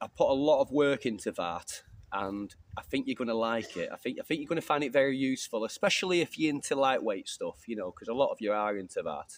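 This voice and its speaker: Speaking very fast with hardly any pauses, a man with an English accent uses a medium pitch and lively intonation in a dry, close sound with no echo. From England. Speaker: bushcraft YouTuber. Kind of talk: casual vlog chat. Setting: outdoors. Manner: fast at times.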